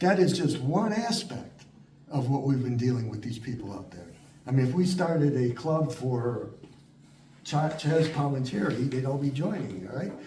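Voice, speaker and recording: A man with a fairly high pitch speaks in an animated tone, with lively intonation and big swings in loudness. Audible room echo and noticeable background noise surround him. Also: moderate pace. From Chicago, US Midwest. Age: 70s. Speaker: lecturer on Italian history. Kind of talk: Q&A discussion after a talk.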